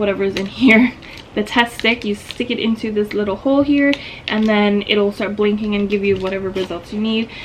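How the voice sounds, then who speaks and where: Background noise is noticeable. The voice keeps a moderate pace and fairly even intonation. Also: woman. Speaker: lifestyle vlogger. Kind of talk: casual vlog tutorial. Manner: casual, many filler ums.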